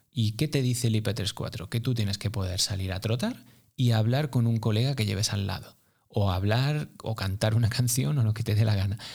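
In a very clean recording with a silent background, a man's somewhat breathy voice shows ordinary pitch variation. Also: medium pitch for a man, moderate pace. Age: 40s. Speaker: running coach. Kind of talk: casual interview.

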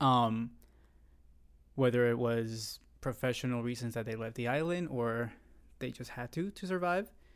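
In a Puerto Rican accent, a man speaks at a medium pitch and a moderate pace, with ordinary pitch variation. He takes long, frequent pauses, and the recording is very clean with a silent background. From Puerto Rico, raised in San Juan. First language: Spanish. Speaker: guest. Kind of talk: casual chat. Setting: studio.

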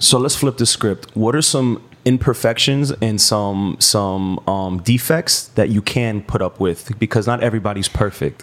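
In a normal speaking voice, a man talks at a moderate pace with a fairly low pitch, ordinary pitch variation, and very even loudness. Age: 30s. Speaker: podcast host. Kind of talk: casual chat.

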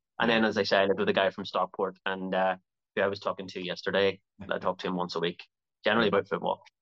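Talking at a very fast pace, a man speaks with a Belfast accent. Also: dry, close sound with no echo. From Northern Ireland, Belfast. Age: 40s. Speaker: actor. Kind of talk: interview.

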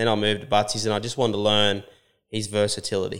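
A man's fairly low voice comes through on a very clean recording against a silent background. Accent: Australian. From New South Wales, Australia. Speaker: cutting horse trainer and rider. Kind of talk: casual interview. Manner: halting, many repeats and fillers.

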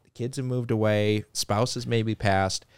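A man with a slight North Dakota accent, in a dry, close sound with no echo on a very clean recording with a silent background. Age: 30s. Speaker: car dealership executive. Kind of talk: interview.

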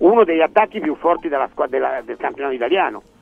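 Music plays in the background as a man speaks. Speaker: sports pundit. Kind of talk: panel discussion.

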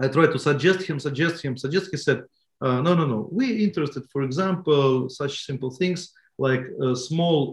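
A somewhat breathy man at a fairly high pitch, fairly slow pace, and ordinary pitch variation. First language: Russian. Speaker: bookseller. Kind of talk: interview. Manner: halting.

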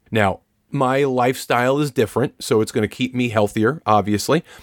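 At a moderate pace, a man talks in an ordinary speaking voice, his pitch varying in an ordinary way. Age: 50s. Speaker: relationship coach, podcast co-host. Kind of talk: casual chat.

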